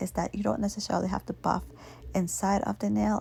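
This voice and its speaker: On a very clean recording with a silent background, a woman speaks in a soft-spoken way. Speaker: nail art hobbyist / vlogger. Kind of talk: nail tutorial talking to camera, ASMR.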